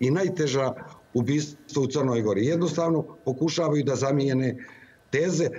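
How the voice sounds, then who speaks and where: A man with a fairly high pitch for a man talks at a moderate pace, using ordinary pitch variation. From Montenegro. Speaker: opposition politician. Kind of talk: live TV interview. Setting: remote link into TV studio. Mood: critical, earnest political argument. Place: office. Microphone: video call.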